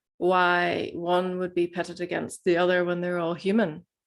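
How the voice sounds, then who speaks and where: A woman with a Northern Irish accent and a fairly low pitch, at a fairly slow pace against a quiet background. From Northern Ireland. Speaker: plant medicine facilitator. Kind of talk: webinar talk.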